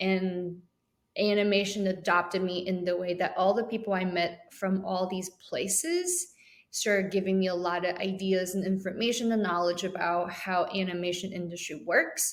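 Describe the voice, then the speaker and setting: Speaking with a Chinese accent, a woman keeps a moderate pace at medium pitch. Her intonation is monotone and flat. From Taiwan. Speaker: animation program chair and educator. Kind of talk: podcast interview. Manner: hesitant, many fillers.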